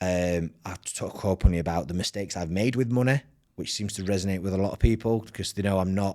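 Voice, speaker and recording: A man's very deep, low voice with a dark, mellow tone, ordinary pitch variation and a very fast pace. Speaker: finance expert and content creator. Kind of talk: podcast interview. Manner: fast when excited; animated, giddy.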